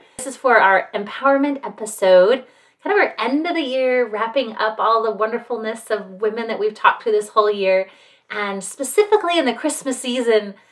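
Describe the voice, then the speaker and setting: A woman with an American accent and an unremarkable speaking voice talks at a fairly quick pace, her fairly high pitch showing ordinary variation. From Salt Lake City, Utah. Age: 40s. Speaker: podcast host. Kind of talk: casual chat.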